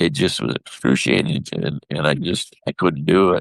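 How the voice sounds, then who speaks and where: A man speaks with a very deep, low pitch and vocal fry. His intonation is lively, and the sound is dry and close with no echo. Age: 60s. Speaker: husband of the host, injury survivor. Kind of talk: testimony.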